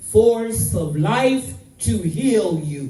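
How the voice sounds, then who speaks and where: Amid noticeable background noise and audible room echo, a woman talks at a very slow pace with very wide pitch swings. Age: 80s+. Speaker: activist. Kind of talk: public speech. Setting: royal palace event. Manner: impassioned.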